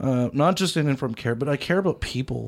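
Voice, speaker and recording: A man with a Canadian accent on a very clean recording with a silent background. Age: 20s. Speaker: youth advocate, former youth in care. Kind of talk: casual radio interview. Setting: radio studio. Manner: energetic.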